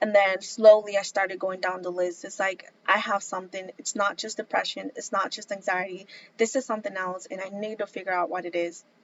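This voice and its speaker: A woman with a normal speaking voice talks at a fairly quick pace with hardly any pauses, a medium pitch, fairly even intonation and big swings in loudness. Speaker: vlogger. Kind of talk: personal testimony vlog.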